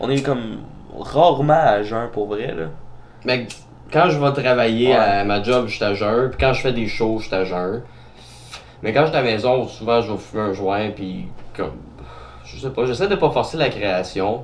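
In a Quebec accent, a man speaks fairly slowly at a medium pitch with ordinary pitch variation, long, frequent pauses, and audible room echo. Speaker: podcast host. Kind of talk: casual chat.

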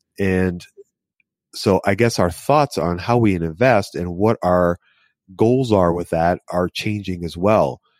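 A man with a very deep, low pitch and ordinary pitch variation at a very slow pace, in a very clean recording with a silent background and a dry, close sound with no echo. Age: 50s. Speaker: investing podcast co-host. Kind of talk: casual chat.

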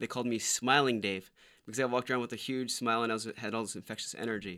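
A man with an American accent, very fast and medium in pitch, bright and sharp in tone with fairly even intonation, on a very clean recording with a silent background. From Florida. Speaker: stock investor. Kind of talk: casual chat.

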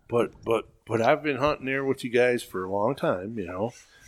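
Here a man speaks in a normal speaking voice at medium pitch. His pace is moderate and his pitch variation ordinary. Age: 60s. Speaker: veteran deer hunter. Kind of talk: casual chat.

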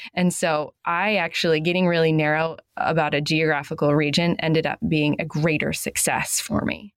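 The delivery runs at a moderate pace with very even loudness, fairly even intonation and hardly any pauses. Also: woman, very deep, low pitch for a woman. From New England. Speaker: true crime podcaster. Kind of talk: casual chat.

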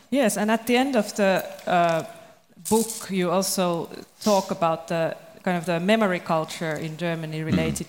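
The speaker talks at a fairly slow pace against noticeable background noise. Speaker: podcast host. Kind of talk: moderated panel discussion.

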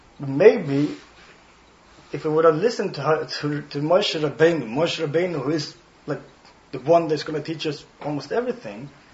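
A man with a Swedish accent and a high pitch speaks at a moderate pace amid noticeable background noise. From Sweden, Stockholm. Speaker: rabbi. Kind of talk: guest talk to students. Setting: speaking in front of a student audience. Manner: warm, occasionally searching for words.

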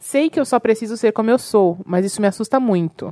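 A woman's fairly high voice at a fairly quick pace, dry and close with no echo. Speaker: podcaster. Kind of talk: casual chat.

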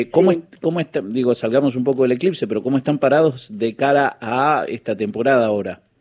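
Talking at a very fast pace with hardly any pauses, a man with an Argentine accent uses lively intonation at a medium pitch. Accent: Argentine Spanish (voseo). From Trelew, Patagonia, Argentina. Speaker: radio host. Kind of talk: radio interview.

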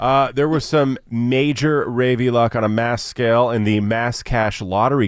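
With a plain, everyday voice, a man speaks at a moderate pace and medium pitch on a very clean recording with a silent background. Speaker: news reader, radio co-host. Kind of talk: news headline reading.

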